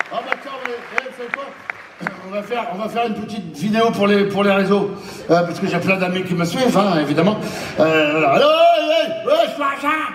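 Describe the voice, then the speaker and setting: Crowd noise fills the background as a man speaks at a high pitch. His pitch swings very widely. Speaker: stand-up comedian. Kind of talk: live stand-up comedy performance. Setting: live stage show.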